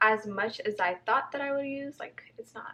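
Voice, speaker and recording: This woman has a plain, everyday voice, talking at a moderate pace with ordinary pitch variation. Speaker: beauty vlogger. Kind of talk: casual vlog tutorial.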